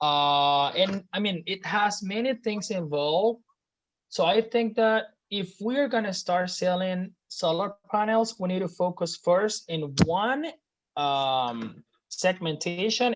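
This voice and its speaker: With a Spanish accent and lively intonation, a woman of medium pitch speaks at a very slow pace. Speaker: student in a class project group. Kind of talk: casual group meeting discussion. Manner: halting, with many fillers.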